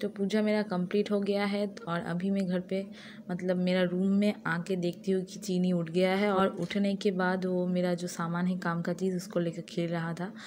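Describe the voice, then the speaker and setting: At a moderate pace and with hardly any pauses, a woman speaks at medium pitch in a monotone, flat intonation. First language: Bengali (speaking Hindi). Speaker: vlogger. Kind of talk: casual vlog narration. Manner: halting, many fillers.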